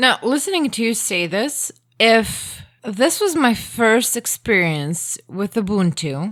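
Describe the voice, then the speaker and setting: In a very clean recording with a silent background, a woman with a Croatian accent speaks very slowly in a fairly high voice, her pitch swinging very widely. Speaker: podcast guest trying Linux. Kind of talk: casual chat.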